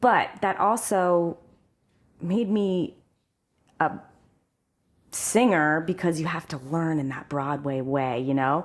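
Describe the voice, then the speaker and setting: In a Midwestern US accent, a woman with a fairly low pitch speaks at a very slow pace with lively intonation and long, frequent pauses, on a very clean recording with a silent background. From central Ohio. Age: 40s. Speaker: singer. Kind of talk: casual chat.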